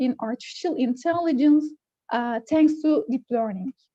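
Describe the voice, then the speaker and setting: A woman speaks with a Turkish accent. Her tone is dark and mellow. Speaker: computer engineer. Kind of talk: technical presentation. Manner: halting, many fillers.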